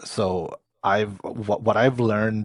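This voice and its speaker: A man with a non-native accent, very slow pace and monotone, flat intonation, dry and close with no echo over a quiet background. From Transylvania, Romania. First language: not English. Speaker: service designer. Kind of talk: casual chat. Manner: halting, many repetitions and fillers.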